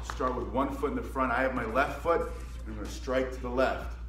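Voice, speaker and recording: A man talks at a fairly quick pace with audible room echo. Faint music plays in the background. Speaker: martial arts instructor. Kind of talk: tutorial. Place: gym. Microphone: phone near.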